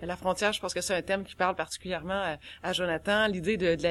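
A woman talks at a fairly quick pace in a monotone, flat intonation. The recording is very clean, with a silent background. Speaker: horror author. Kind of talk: panel discussion.

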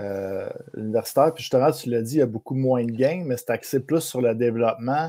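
This man's voice has a dark, mellow tone and ordinary pitch variation. He speaks at a moderate pace. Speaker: hockey podcast host. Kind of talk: casual chat.

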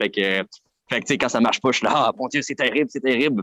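A man with a Quebec accent, in a dry, close sound with no echo. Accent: Québécois French. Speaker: clown. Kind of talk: casual chat.

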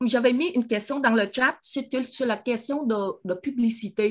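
A woman's high-pitched voice. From Vietnam. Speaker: audience member. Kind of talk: testimony. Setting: video call.

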